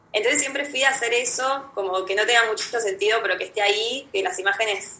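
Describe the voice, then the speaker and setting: A woman talks at a fairly quick pace with hardly any pauses, her pitch fairly high and its variation ordinary. Noticeable background noise can be heard. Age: 20s. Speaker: photography student. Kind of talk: casual chat. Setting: video call.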